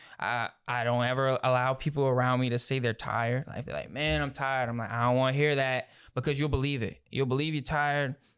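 The recording is very clean, with a silent background. A man with an American accent speaks fairly quickly at a medium pitch. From Louisiana, Houma area. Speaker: videographer and content creator. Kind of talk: casual chat. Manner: animated.

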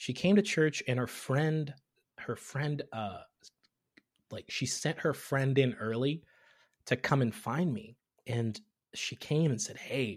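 Very slowly, with long, frequent pauses, a man talks in a fairly high, somewhat breathy voice with an American accent and lively intonation. The recording is very clean, with a silent background. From Tanzania, raised partly there and in US. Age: 30s. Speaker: comedian and content creator. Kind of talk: casual interview chat.

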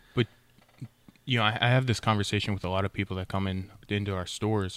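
The dry, close sound with no echo carries a man's fairly low-pitched voice and fairly even intonation. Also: very clean recording, silent background. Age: 30s. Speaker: podcast host and supplement store owner. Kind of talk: casual chat.

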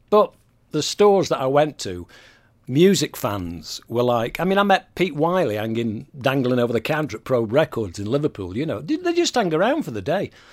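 The speaker talks at a moderate pace in a Mancunian accent, with very wide pitch swings. The recording is very clean, with a silent background. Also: man, fairly high pitch for a man. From Manchester, England. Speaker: music industry veteran and former radio presenter. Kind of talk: interview.

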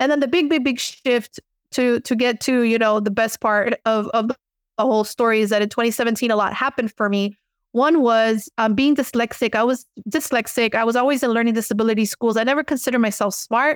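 Speaking with an American accent, a woman has a fairly high pitch, fairly even intonation and very even loudness, in a very clean recording with a silent background and a dry, close sound with no echo. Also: fairly quick pace. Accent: Miami Cuban American English. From Miami, Cuban American. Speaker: spiritual teacher and author. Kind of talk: casual interview. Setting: podcast interview.

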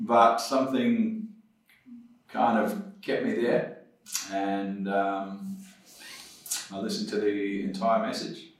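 In a New Zealand accent, a man talks at a very slow pace with long, frequent pauses. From New Zealand, South Auckland. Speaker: former police officer, addiction recovery ministry leader. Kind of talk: testimony. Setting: studio.

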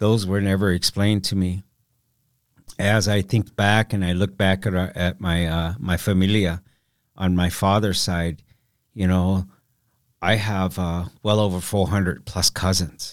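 A man with an American accent, very deep and low in pitch, monotone and flat, fairly slow with long, frequent pauses, very even loudness, on a very clean recording with a silent background. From US Midwest, Council Bluffs, Iowa. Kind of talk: interview conversation.

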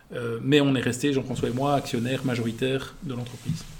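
With audible room echo, a man speaks at a medium pitch in a monotone, flat intonation. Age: 40s. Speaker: entrepreneur. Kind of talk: interview.

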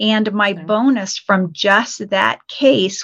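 Using an ordinary speaking voice, the woman talks at a medium pitch, and her pitch varies in an ordinary way. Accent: American. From Colorado. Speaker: financial coach. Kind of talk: interview.

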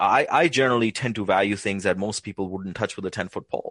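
A plain, everyday voice from a man, fairly low in pitch with ordinary pitch variation, dry and close with no echo, over a quiet background. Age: 40s. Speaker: valuation expert. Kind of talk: interview.

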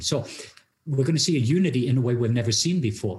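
This man talks at a fairly quick pace with lively intonation. His pitch is medium and his voice somewhat breathy. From Norway. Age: 50s. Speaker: pastor and international speaker. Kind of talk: testimony.

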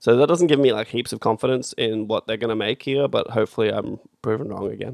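A man speaks very fast at a medium pitch, with ordinary pitch variation. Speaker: podcast host. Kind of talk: casual banter.

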